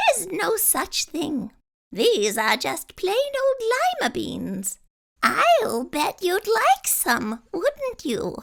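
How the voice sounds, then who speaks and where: A woman's put-on character voice, squeaky and extremely high-pitched, with very wide pitch swings and a very slow pace. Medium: read story. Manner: gentle, bright.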